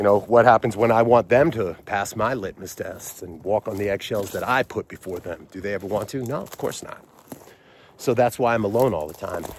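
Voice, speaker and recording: Mumbling from a man at a fairly quick pace, fairly low in pitch, with ordinary pitch variation and big swings in loudness. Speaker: vlogger. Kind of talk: casual monologue. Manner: halting, many fillers.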